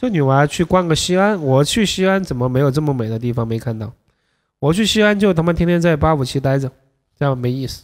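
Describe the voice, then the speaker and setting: In a Sichuan accent, a man speaks very fast with a fairly high pitch and an animated tone. His intonation is lively, and the background is quiet. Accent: Sichuan-accented Mandarin. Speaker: dating coach livestreamer. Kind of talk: livestream commentary. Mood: joking, casual. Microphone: studio mic.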